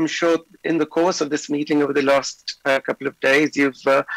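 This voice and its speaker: A man speaks at a moderate pace with music in the background, the sound dry and close with no echo. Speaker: pathologist. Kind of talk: lecture. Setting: video call. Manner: hesitant, with many fillers.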